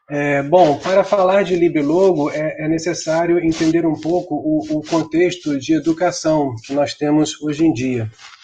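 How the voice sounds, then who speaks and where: A man talks at a fairly slow pace with hardly any pauses. His pitch is fairly high and his intonation fairly even. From Brazil. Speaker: computer science professor. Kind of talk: online conference talk. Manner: frequent filler hesitations.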